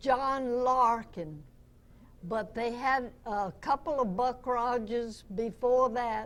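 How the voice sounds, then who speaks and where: At a very slow pace, a woman with an American accent speaks in a fairly high pitch with ordinary pitch variation. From US South. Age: 90s. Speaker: radio actress. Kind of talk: interview.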